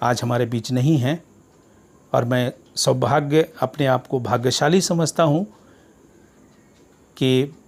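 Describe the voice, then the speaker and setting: This man's voice sits at a medium pitch and moves with ordinary pitch variation. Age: 60s. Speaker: retired teacher. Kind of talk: speech. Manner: formal.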